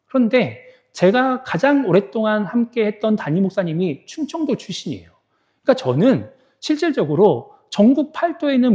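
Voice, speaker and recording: A man's voice sits high, with a dark, mellow tone. His pitch swings very widely. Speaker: pastor. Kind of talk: sermon. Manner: conversational.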